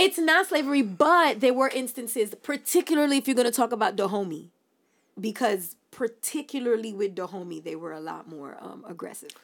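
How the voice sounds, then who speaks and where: A woman talks at a fairly quick pace with fairly high pitch. Her voice has very wide pitch swings and big swings in loudness. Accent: New York. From Brooklyn, New York, Haitian family. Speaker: podcast co-host. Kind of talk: casual chat.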